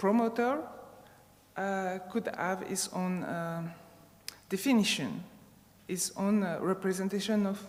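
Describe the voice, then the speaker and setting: A woman with a non-native accent talks at a fairly slow pace with long, frequent pauses. Audible room echo fills the recording. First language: not English. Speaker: sports sociologist, conference speaker. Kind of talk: conference talk. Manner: halting, many fillers.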